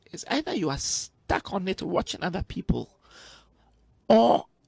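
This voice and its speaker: An animated man with a high pitch and very wide pitch swings, in a dry sound with no echo. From Ghana (Accra). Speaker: actor. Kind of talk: motivational talk. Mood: passionate, preachy. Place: studio. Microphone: studio mic.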